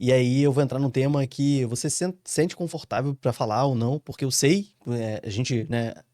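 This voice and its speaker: A man with a dark, mellow tone speaks at a medium pitch with ordinary pitch variation and hardly any pauses on a very clean recording with a silent background. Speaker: podcast host. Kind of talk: podcast interview. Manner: fast.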